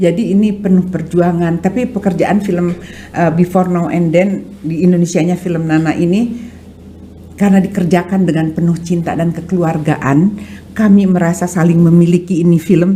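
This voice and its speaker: A woman with a West Javanese accent speaks at a moderate pace in a fairly low voice, with noticeable background noise. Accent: Sundanese accent in her other languages. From West Java (Sundanese). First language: Sundanese (speaking Indonesian). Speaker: art dealer and film producer. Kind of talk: podcast interview. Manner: hesitant, with fillers.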